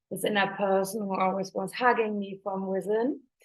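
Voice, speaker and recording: A woman's medium-pitched voice at a moderate pace. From Germany. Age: 30s. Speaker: life coach and retreat leader. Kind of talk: online masterclass talk; guided meditation.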